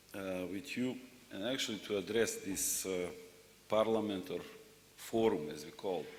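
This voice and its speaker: Man speaking fairly slowly with ordinary pitch variation amid audible room echo. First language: not English. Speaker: secretary general of regional rural development organization. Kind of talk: conference speech. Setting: plenary session with audience.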